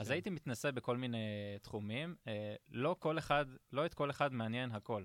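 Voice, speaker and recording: Sounding dry and close with no echo, a man speaks fairly quickly at a medium pitch with ordinary pitch variation. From Israel, Ashdod. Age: 30s. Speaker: product manager at a tech company. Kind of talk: podcast interview. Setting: studio. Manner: halting, many fillers.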